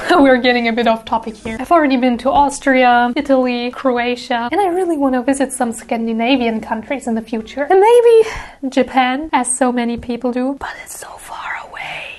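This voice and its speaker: Her voice is high, and the woman's pitch shows ordinary variation. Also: moderate pace. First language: German. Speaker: cosplay prop maker and artist YouTuber. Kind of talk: Q&A video talk. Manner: casual, playful.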